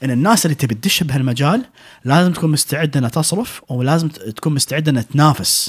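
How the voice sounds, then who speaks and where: Against a quiet background, a man speaks fairly quickly with a somewhat breathy, fairly high voice and lively intonation. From Kuwait. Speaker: restaurant owner and chef; podcast guest. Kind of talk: casual interview chat. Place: studio. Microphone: studio mic.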